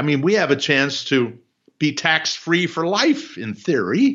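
This man talks at a very slow pace with vocal fry. His fairly high pitch swings very widely. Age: 70s. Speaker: investment author. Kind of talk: interview.

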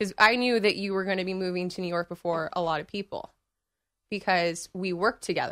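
A woman's very fast speech with an American accent, medium pitch, bright, sharp tone and fairly even intonation, on a very clean recording with a silent background. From Northern California. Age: 20s. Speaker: guest. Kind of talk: casual chat. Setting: studio.

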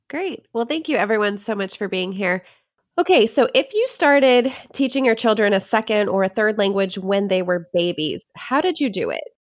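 Speaking in a normal speaking voice, a woman with a fairly high pitch uses lively intonation at a moderate pace. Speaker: podcast host. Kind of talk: hosted panel discussion.

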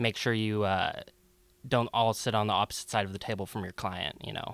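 Using an ordinary speaking voice with an American accent, a man talks at a fairly quick pace and a fairly low pitch with fairly even intonation, the sound dry and close with no echo. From Seattle. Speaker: law student. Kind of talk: interview.

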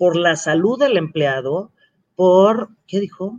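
At a very slow pace, a woman speaks with lively intonation and a medium pitch. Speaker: industry association director. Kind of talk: panel discussion.

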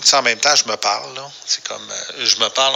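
There is noticeable background noise as a man speaks with a Quebec accent. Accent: Québécois French. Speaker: radio producer. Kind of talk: voicemail monologue. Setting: phone message.

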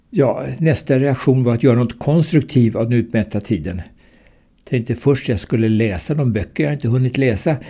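With a dark, mellow tone and a somewhat breathy quality, a man speaks at a moderate pace and medium pitch with ordinary pitch variation, in a very clean recording with a silent background. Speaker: retired surgeon and cancer patient. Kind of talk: reading aloud a personal account.

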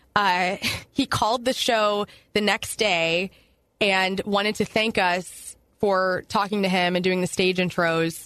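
In a plain, everyday voice with an American accent, a woman at medium pitch talks at a fairly slow pace, her loudness very even and her intonation fairly even. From southern Illinois. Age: 30s. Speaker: radio personality. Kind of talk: casual chat. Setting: studio.

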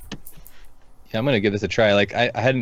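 Against a quiet background, a man with an American accent speaks with fairly even intonation. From Seattle area, US. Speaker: podcast co-host. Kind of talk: casual chat. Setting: live stream.

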